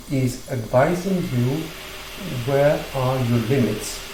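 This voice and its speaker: Speaking at a very slow pace with a strong non-native accent, a man uses lively intonation at a medium pitch, with audible room echo and noticeable background noise. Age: 60s. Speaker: gymnastics teacher, former ballet dancer. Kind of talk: tutorial. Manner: halting.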